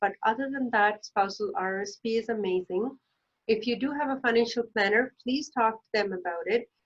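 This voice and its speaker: Fairly high-pitched woman with a non-native accent, ordinary pitch variation, and a dry, close sound with no echo. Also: moderate pace. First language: not English. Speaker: financial planner. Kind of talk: educational explainer. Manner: hesitant, many fillers.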